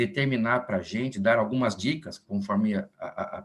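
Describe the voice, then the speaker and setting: A normal speaking voice, moderate pace, ordinary pitch variation. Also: man. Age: 60s. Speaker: physician, meeting moderator. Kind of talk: formal introduction.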